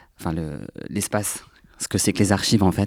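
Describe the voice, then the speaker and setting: A man talks in a plain, everyday voice on a very clean recording with a silent background. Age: 20s. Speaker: archive association volunteer. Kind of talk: panel discussion.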